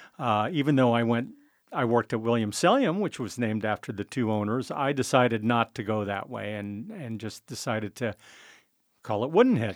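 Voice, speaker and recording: Recorded very cleanly against a silent background, a man with an American accent speaks at a fairly quick pace in a medium pitch with ordinary pitch variation, the sound dry and close with no echo. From US West Coast, San Francisco. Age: 60s. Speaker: winemaker. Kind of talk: interview. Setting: studio. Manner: hesitant, many fillers.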